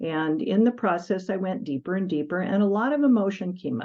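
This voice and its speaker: Her voice moves across very wide pitch swings. This woman keeps a moderate pace. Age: 60s. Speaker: medical intuitive and energy healer. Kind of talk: interview. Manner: halting, with fillers.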